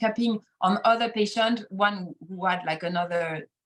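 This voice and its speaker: Speaking in a French accent, a woman uses a fairly high pitch with ordinary pitch variation. Her voice is somewhat breathy, and her pace is moderate. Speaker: acupuncturist. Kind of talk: podcast interview. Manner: halting.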